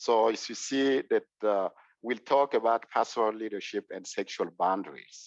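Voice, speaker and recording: A man with a Congolese accent and medium pitch talks at a fairly slow pace in a dry, close sound with no echo. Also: quiet background. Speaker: clergy presenter. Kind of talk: presentation. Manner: halting, many fillers.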